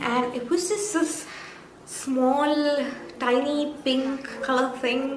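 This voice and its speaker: A woman's high-pitched voice in a Keralan accent, ordinary pitch variation, audible room echo and noticeable background noise. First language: Malayalam. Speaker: YouTuber, vlogger. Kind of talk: casual vlog recap.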